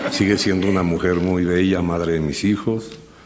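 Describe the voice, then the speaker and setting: A man speaks at a moderate pace, his voice echoing audibly in the room over noticeable background noise. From Mexico City. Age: 60s. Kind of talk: personal storytelling talk.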